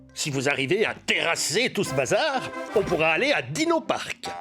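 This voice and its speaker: A cartoonish character voice at a middle pitch moves at a moderate pace over clear music in the background. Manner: hesitant, lots of "euh".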